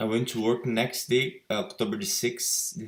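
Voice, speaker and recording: A man with a Brazilian Portuguese accent, medium pitch and very wide pitch swings. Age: 20s. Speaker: patient sharing recovery story. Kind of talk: personal testimony. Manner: halting, with repetitions.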